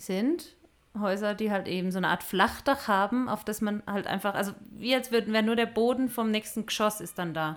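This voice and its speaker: The woman's pitch is fairly high with ordinary pitch variation, and her pace is moderate. The recording is very clean, with a silent background. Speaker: missionary podcast co-host. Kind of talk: casual chat.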